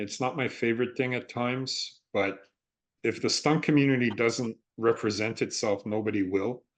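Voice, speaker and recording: At a moderate pace and medium pitch, a man talks in a plain, everyday voice with ordinary pitch variation against a quiet background. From Canada. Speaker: stunt performer and actor. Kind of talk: interview.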